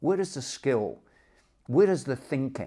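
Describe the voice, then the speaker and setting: This man's tone is dark and mellow, and he talks at a moderate pace. Nothing disturbs the quiet background. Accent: Dundee. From Dundee, Scotland. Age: 70s. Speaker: boxing coach. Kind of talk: interview answer. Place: home room.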